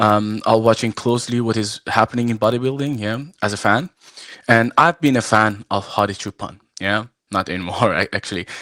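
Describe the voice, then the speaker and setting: A man's medium-pitched voice with an Iranian accent, moderate pace and fairly even intonation, in a dry, close sound with no echo and a very clean recording with a silent background. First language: Farsi. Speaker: arm wrestler and referee. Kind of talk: live show interview. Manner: halting, many fillers.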